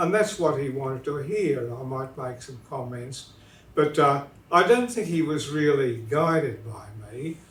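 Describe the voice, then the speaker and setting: With an Australian accent, a man speaks at a fairly high pitch with lively intonation and big swings in loudness, amid audible room echo and noticeable background noise. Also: moderate pace. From southern New South Wales, Australia. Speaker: literature professor. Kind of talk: interview. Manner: hesitant, many fillers.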